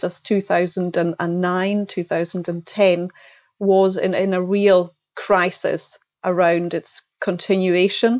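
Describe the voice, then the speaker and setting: Monotone, flat intonation comes in a Hebridean accent, with a dry, close sound with no echo and a quiet background. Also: woman. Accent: Hebridean Scottish. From Outer Hebrides, Scotland (Isle of Lewis). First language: Scottish Gaelic. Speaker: textile company sales director. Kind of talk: interview.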